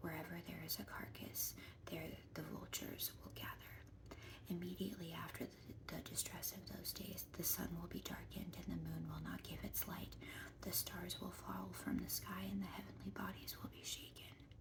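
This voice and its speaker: Noticeable background noise fills the recording. A whispered voice moves along at a moderate pace. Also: woman. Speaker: ASMR Bible reading creator. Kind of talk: Bible reading, scripture narration. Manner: whispered, soft.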